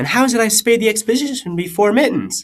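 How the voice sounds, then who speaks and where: The voice carries vocal fry. It moves at a moderate pace. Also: man. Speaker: amateur audiobook reader. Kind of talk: fan fiction audiobook reading. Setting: laptop microphone.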